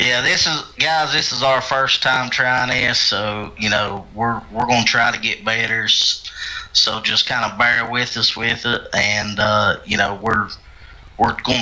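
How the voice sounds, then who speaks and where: A man talks at a fairly slow pace with a medium pitch. Noticeable background noise runs behind him. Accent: strong West Virginia. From West Virginia. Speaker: racing stream commentator. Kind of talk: live commentary.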